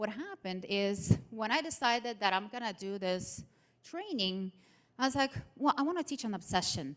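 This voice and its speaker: A woman speaks with a non-native accent at a fairly quick pace. Her pitch is fairly high and her intonation lively. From outside the United States. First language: not English. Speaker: motivational speaker. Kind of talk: seminar presentation. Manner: animated.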